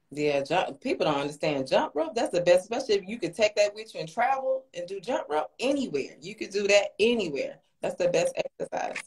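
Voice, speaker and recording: Fairly quick and with hardly any pauses, the voice swings very widely in pitch and carries vocal fry. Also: woman, fairly high pitch for a woman, big swings in loudness. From Atlanta, Georgia; Georgia. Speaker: fan joining a livestream; guest. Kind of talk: casual livestream chat. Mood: warm, enthusiastic. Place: home room. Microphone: phone near.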